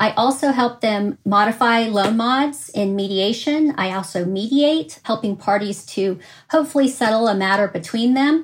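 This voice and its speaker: Her voice is fairly high and somewhat breathy, with lively intonation. The woman talks at a moderate pace. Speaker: attorney, bankruptcy trainer and mediator. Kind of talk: short advice and introduction.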